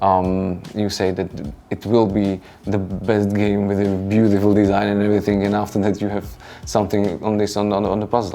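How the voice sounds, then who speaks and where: A man with a non-native accent talks at a fairly quick pace in a monotone, flat delivery while music plays in the background. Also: fairly low pitch for a man. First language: non-native English speaker. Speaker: board game designer. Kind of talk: interview. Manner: halting, many fillers.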